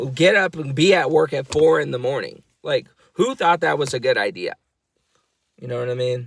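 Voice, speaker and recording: Very wide pitch swings from a man speaking at a moderate pace. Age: 20s. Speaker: vlogger, housekeeper. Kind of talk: casual rant vlog. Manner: animated.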